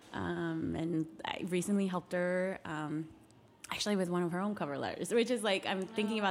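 Using an ordinary speaking voice, a woman with fairly low pitch talks at a fairly quick pace with fairly even intonation. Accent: American. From US West, Nevada (Carson City). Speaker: policy organizer. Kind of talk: interview.

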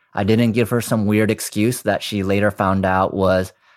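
On a very clean recording with a silent background, a man with a plain, everyday voice speaks at a moderate pace, his pitch fairly low and his intonation fairly even. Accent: American. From US, Chinese American. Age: 40s. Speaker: cannabis entrepreneur and podcaster. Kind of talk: interview.

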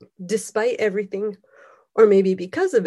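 A woman's medium-pitched voice has a dark, mellow tone, fairly even intonation and a moderate pace. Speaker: poet, person with arthritis. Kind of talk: poetry reading, spoken-word poem.

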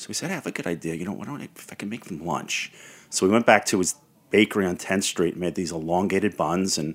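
A man with a Brooklyn accent, a very deep, low pitch and ordinary pitch variation. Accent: New York (Brooklyn). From Brooklyn, New York. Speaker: historian and entrepreneur. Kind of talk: interview.

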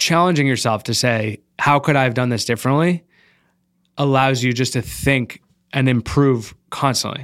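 With an American accent, a man speaks in a plain, everyday voice at medium pitch with ordinary pitch variation, on a very clean recording with a silent background. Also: moderate pace. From Massachusetts. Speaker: startup founder. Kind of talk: casual interview.

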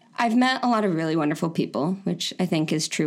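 Vocal fry marks this woman's voice. She speaks at a very fast pace. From Florida. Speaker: designer and online community founder. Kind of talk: casual interview.

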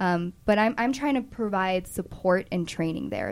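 At a moderate pace and with ordinary pitch variation, an ordinary speaking voice talks. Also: woman. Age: 20s. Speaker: cannabis compliance consultant. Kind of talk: interview.

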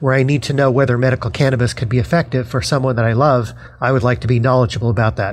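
Music plays in the background. The speaker talks very fast with an American accent and ordinary pitch variation. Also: man. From Denver, Colorado. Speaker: university lecturer and author. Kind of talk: interview.

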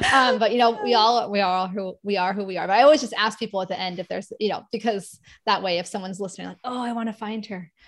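A woman talks very fast in a fairly high voice, her pitch varying in an ordinary way. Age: 40s. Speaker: podcast host, occupational therapist. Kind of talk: casual interview chat. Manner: animated.

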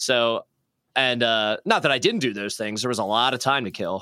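Medium in pitch with ordinary pitch variation, a man talks in a normal speaking voice in a very clean recording with a silent background. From Philadelphia. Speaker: guitarist and record label owner. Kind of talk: casual interview.

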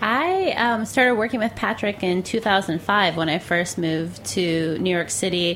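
With hardly any pauses, a woman speaks at a fairly slow pace with very even loudness and ordinary pitch variation, over noticeable background noise. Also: medium pitch for a woman. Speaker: station executive. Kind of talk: casual interview chat. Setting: live from restaurant.

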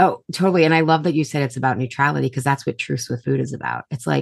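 Against a quiet background, a woman with vocal fry talks at a very fast pace, the sound dry and close with no echo. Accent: American. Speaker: holistic nutritionist and health coach. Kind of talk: interview conversation.

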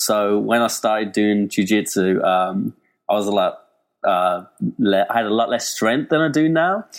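A man with an English accent talks at a fairly slow pace. His loudness stays very even throughout. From Birmingham, England. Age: 20s. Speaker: web developer. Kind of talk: casual chat.

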